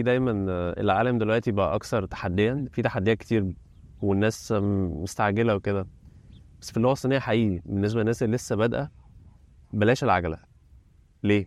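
A man talks at a fairly quick pace with a medium pitch and ordinary pitch variation. Long, frequent pauses break up his speech. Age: 30s. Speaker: Chinese translator. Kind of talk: interview.

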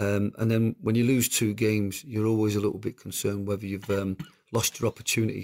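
An unremarkable speaking voice belongs to a man with fairly low pitch. He talks at a fairly quick pace with very even loudness, in a dry, close sound with no echo. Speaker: football manager. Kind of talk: interview answers.

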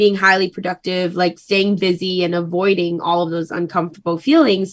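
Typical pitch movement in a normal speaking voice. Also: woman. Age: 20s. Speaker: podcast guest. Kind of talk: casual chat.

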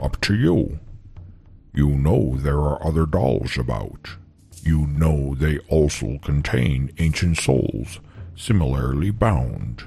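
A put-on character voice speaks at a fairly slow pace while faint music plays in the background. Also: man, very deep, low pitch for a man. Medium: solo performance. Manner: terse, deadpan.

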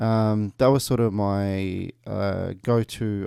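Dark, mellow tone in an Australian accent with fairly even intonation, on a very clean recording with a silent background. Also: man. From Kuwait, then Melbourne from late 1990s. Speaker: youth justice project coordinator. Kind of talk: radio interview. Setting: radio studio. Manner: hesitant, many fillers.

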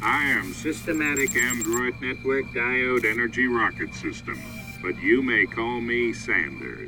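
Over clear music in the background, a man does a robotic put-on character voice at medium pitch and a moderate pace.

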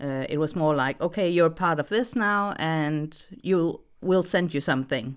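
With a Danish accent, a woman speaks at a fairly slow pace and fairly low pitch, with hardly any pauses and ordinary pitch variation. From Denmark. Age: 30s. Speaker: voice actress. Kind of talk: casual interview. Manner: hesitant, many fillers; giggly, laughs often.

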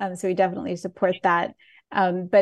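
The speaker has an ordinary speaking voice. The pace is moderate. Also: woman. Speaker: audio description gala host. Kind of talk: casual chat. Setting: video call.

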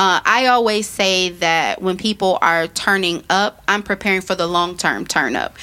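There is noticeable background noise behind the voice. A woman with an American accent speaks at a medium pitch. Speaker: podcast host, small business advocate. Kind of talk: casual interview chat. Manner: fast; animated.

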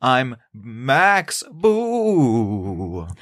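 A put-on character voice leaps through very wide pitch swings. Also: man, medium pitch for a man. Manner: spooky.

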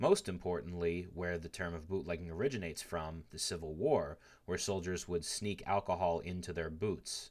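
In a very clean recording with a silent background, a man with a very deep, low voice speaks at a moderate pace with ordinary pitch variation and hardly any pauses. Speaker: podcast host. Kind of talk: casual chat with lecture-style history segments. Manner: rambling.

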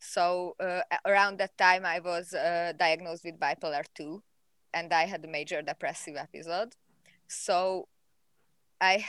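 A woman with a Hungarian accent speaks at a moderate pace in a fairly low pitch, her intonation fairly even. The recording is very clean with a silent background, and the sound is dry and close with no echo. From Hungary. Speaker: animal behavior researcher. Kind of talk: interview. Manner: halting.

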